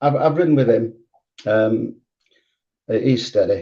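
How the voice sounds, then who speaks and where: Speaking with a northern English accent, a man has a medium pitch. His pace is moderate. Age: 70s. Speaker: retired speedway rider and riding coach. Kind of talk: casual interview.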